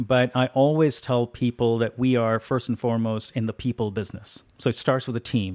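With a normal speaking voice and an American accent, a man speaks at a moderate pace in a medium pitch, the sound dry and close with no echo on a very clean recording with a silent background. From India, then high school in Los Angeles. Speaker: venture capitalist. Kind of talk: interview. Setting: aboard a museum ship.

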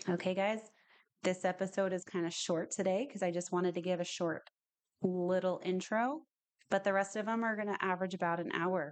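A woman talks at a fairly quick pace and medium pitch in an ordinary speaking voice. Her intonation is fairly even. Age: 30s. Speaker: podcast host, real estate agent, former police officer. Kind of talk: solo podcast monologue. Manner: casual, uses filler words.

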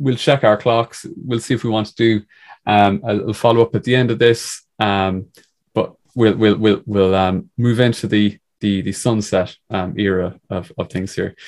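In a very clean recording with a silent background, a man with an Irish accent speaks at a fairly low pitch with fairly even intonation. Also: fairly slow pace. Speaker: podcast host. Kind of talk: casual chat. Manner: laughs a lot.

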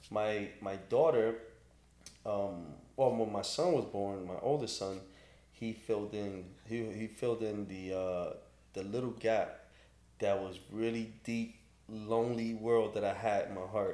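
Amid audible room echo, a man with a fairly low pitch and a dark, mellow tone speaks fairly slowly, with long, frequent pauses. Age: 40s. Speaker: barber and business owner. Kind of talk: casual interview.

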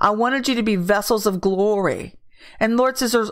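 On a very clean recording with a silent background, a woman with a plain, everyday voice speaks fairly high in pitch with ordinary pitch variation. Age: 50s. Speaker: prophetic ministry leader. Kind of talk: prophetic word livestream. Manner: casual.

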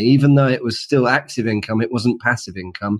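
A man speaks with a London accent. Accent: British English, London. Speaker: author, designer and entrepreneur. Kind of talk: interview.

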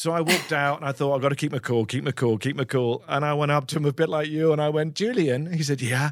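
A man speaks with an English accent. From England. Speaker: actor. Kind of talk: casual chat.

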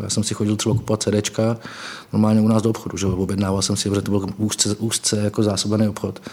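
Noticeable background noise accompanies a man whose pitch sits fairly low. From small town in Moravia, Czech Republic. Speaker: political journalist and author. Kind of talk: conversational interview.

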